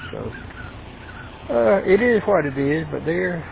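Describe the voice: With a Georgia accent and vocal fry, a man speaks over faint background noise. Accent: American South, Georgia.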